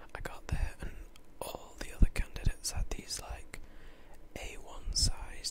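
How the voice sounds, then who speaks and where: Someone is whispering. Noticeable background noise sits behind the voice. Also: man. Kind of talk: casual talk to camera. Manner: casual, chatty, rambling.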